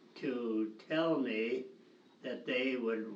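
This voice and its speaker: A man speaks very slowly with an American accent. Background noise is noticeable. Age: 80s+. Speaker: retired teacher and camp director. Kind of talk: interview answer, reminiscing. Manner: hesitant, slow.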